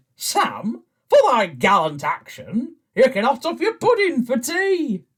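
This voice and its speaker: A put-on character voice delivers the lines fairly slowly. Its pitch is high. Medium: stage play. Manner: pompous.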